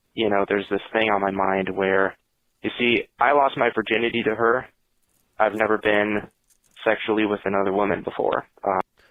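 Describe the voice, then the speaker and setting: Delivered at a moderate pace, this is an ordinary speaking voice. Its intonation is fairly even and its loudness very even. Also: man, fairly low pitch for a man. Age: 20s. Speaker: caller. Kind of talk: testimony.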